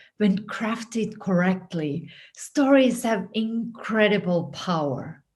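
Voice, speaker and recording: A woman speaks at a very slow pace with a Finnish accent. Her voice is somewhat breathy, and her intonation is lively. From Finland. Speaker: writing coach. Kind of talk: scripted narration.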